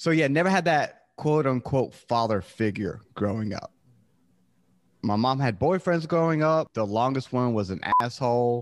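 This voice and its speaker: With an unremarkable speaking voice, a man talks at a moderate pace in a medium pitch with lively intonation over a quiet background. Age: 30s. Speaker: podcaster. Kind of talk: casual chat.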